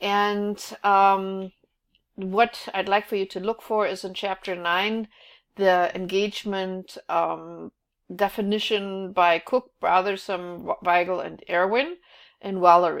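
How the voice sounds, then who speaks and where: A woman with a German accent speaks at a very slow pace, her pitch medium and her intonation fairly even. The recording is very clean, with a silent background. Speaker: college instructor. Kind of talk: recorded class overview. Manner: hesitant, many fillers.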